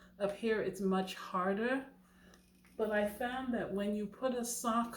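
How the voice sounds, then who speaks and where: Heard with audible room echo, a woman at medium pitch talks at a fairly slow pace with fairly even intonation. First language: not English. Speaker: knitting channel host. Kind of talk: tutorial. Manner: casual, chatty.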